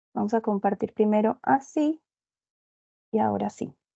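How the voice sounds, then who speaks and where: With a Medellín Colombian accent, a woman talks at a fairly slow pace in a fairly high pitch, her intonation lively. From Colombia, Medellín. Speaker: consultant and instructor in project management. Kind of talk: webinar presentation.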